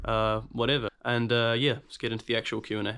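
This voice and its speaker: On a very clean recording with a silent background, a man speaks at a medium pitch in a monotone, flat delivery. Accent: New Zealand. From New Zealand. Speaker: guitarist YouTuber. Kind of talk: casual Q&A talk to camera. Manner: hesitant, many fillers.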